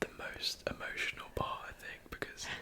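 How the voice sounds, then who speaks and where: Noticeable background noise surrounds a man whispering at a moderate pace. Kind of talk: ASMR chat. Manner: whispered.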